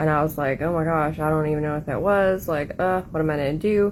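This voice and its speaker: This woman has a Southern US accent and a fairly low pitch. Her intonation stays fairly even. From Appalachia, Southern US. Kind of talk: casual storytime to camera.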